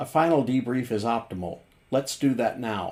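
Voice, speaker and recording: Here a man does a put-on character voice. His pitch is medium and his pace moderate. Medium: game stream. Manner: flat, mechanical.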